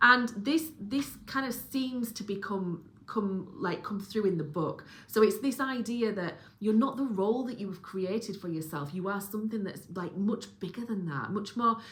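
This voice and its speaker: There is noticeable background noise behind this woman. She talks with a Yorkshire accent and lively intonation. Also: medium pitch for a woman, moderate pace. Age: 40s. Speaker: book reviewer and spiritual content creator. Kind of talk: casual monologue review. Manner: rambling with fillers and restarts.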